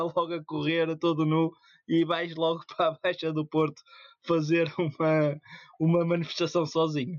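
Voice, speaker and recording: Speaking at a moderate pace, the man has a high pitch and keeps his loudness very even. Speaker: podcast co-host. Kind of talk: casual chat.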